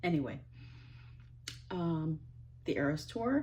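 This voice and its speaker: This voice belongs to a woman. She speaks with an Ohio accent. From US Midwest, northeast Ohio. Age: 50s. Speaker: vlogger, stay-at-home mom. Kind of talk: casual monologue to camera. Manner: rambling, hesitant with fillers.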